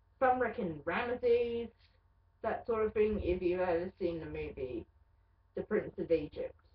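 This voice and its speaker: A woman speaks at a moderate pace with an Australian accent and a fairly high pitch. Her intonation is lively, broken by long, frequent pauses. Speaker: vlogger. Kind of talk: casual webcam monologue.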